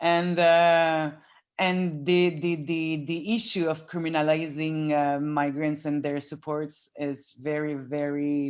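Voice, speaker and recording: Against a quiet background, a woman speaks with a very deep, low pitch and monotone, flat intonation. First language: not English. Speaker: activist. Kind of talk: panel discussion. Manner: halting.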